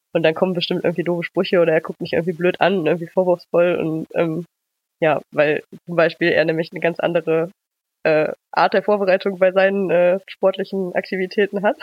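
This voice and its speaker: A woman talks at a very fast pace. Her intonation stays monotone and flat. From Germany, Düsseldorf. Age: 20s. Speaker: running blogger. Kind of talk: casual interview. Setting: remote call.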